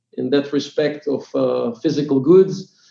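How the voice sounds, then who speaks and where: A man speaks with an Israeli accent. His tone is dark and mellow. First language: Hebrew. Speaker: startup CEO and co-founder. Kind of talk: podcast interview. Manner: halting, many fillers.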